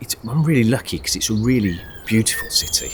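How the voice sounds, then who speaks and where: With a Birmingham accent, a man talks at a moderate pace and medium pitch in a relaxed tone, with ordinary pitch variation over noticeable background noise. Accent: Midlands (Birmingham). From West Midlands, England (north-east Birmingham, Sutton Coldfield). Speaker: travel vlogger. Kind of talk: casual vlog narration. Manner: relaxed, hesitant with fillers.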